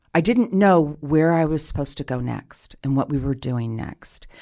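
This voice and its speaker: On a very clean recording with a silent background, a woman with a very deep, low pitch speaks at a fairly slow pace with lively intonation. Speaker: actress and improv performer. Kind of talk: casual chat.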